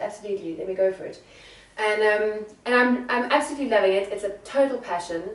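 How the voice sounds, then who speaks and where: Lively intonation in a South African accent comes through with noticeable background noise and audible room echo. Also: woman. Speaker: secondhand fashion entrepreneur. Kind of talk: interview.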